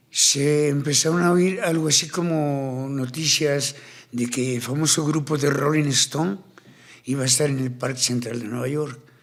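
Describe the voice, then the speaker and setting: Audible room echo hangs around the speech. The man's pitch sits fairly high. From Colombia, Cartagena. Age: 60s. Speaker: tattoo artist and ex-convict speaker. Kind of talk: interview conversation. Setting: studio. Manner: animated.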